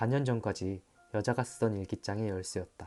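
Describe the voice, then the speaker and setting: A man's medium-pitched voice is heard with music playing behind him. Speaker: actor. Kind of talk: audiobook essay reading.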